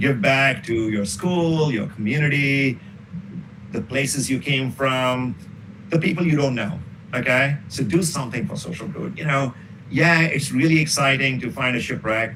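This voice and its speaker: The speech moves at a moderate pace with ordinary pitch variation, and there is noticeable background noise. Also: man, medium pitch for a man. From northern India. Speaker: professor. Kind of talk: interview. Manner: loud.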